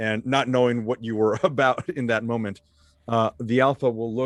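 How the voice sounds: A man speaks at a medium pitch and a fairly slow pace. The sound is dry and close with no echo, and the intonation is fairly even.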